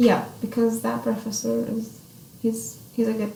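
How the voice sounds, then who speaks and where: Amid audible room echo and noticeable background noise, a woman with an Arabic accent talks at a moderate pace. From Saudi Arabia. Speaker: international college student. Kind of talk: interview. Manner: halting.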